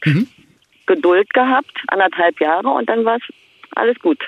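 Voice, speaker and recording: Very wide pitch swings in a woman's fairly high, fairly slow delivery. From East Berlin, Germany. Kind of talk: casual phone interview.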